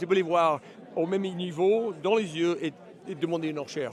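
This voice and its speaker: Over noticeable background noise, a man with an English accent talks at a moderate pace in a high pitch with ordinary variation. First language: English (speaking French). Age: 60s. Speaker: horse auctioneer. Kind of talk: interview. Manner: halting, searching for words.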